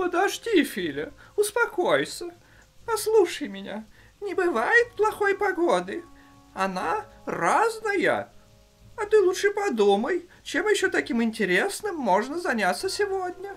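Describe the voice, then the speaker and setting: An extremely high, cartoonish character voice moves at a moderate pace with long, frequent pauses, faint music playing in the background. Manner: calm, patient, instructive.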